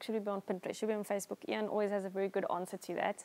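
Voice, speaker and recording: Her voice sits at medium pitch for a woman, and her intonation stays fairly even. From South Africa, Somerset West (Western Cape); Western Cape, South Africa. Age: 30s. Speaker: wedding photographer and blogger; blogger. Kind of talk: interview. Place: home room. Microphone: lapel.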